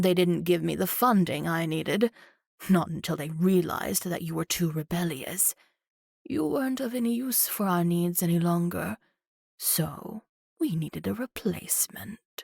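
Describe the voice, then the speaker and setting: A woman at a fairly low pitch puts on a character voice at a moderate pace, in a dry, close sound with no echo. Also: lively intonation. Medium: read story. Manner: cold, clinical, mocking.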